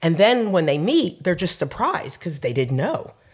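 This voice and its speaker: A woman with an American accent speaks at a moderate pace and a fairly low pitch, with very wide pitch swings. Her voice is somewhat breathy, on a very clean recording with a silent background. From New Jersey, US Northeast. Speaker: chef and restaurant owner. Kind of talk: interview conversation.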